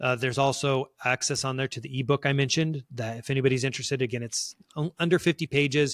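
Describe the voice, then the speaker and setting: On a very clean recording with a silent background, a man speaks at a very fast pace and medium pitch with fairly even intonation, the sound dry and close with no echo. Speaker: career coach and former entertainment executive. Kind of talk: podcast interview. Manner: halting with many fillers.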